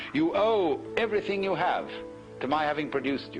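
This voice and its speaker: Music plays behind a man who speaks at a fairly quick pace. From England. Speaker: philosopher, lecturer. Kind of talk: philosophy lecture.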